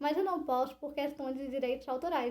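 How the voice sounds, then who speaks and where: This woman's voice sits high in pitch, with a dark, mellow tone and fairly even intonation. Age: 20s. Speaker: YouTuber with low vision. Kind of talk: explainer vlog. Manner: conversational.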